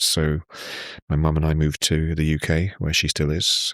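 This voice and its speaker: A man's very deep, low voice comes through with a dry, close sound and no echo, on a very clean recording with a silent background. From Kenya, Nairobi. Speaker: tech company CEO. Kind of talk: casual podcast interview.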